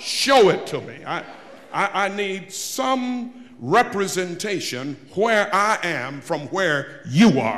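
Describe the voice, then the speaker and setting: A man's voice with very wide pitch swings over light background noise. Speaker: preacher. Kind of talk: sermon. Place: church. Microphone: podium.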